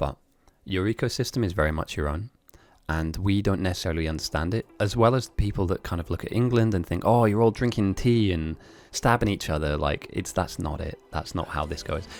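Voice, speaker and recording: Recorded very cleanly over a silent background, a man in an English accent talks fairly quickly in a very deep, low voice with ordinary pitch variation. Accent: sounds fully English. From Germany and Italy. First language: Italian or German. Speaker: game streamer and commentator. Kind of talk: live game commentary with chat.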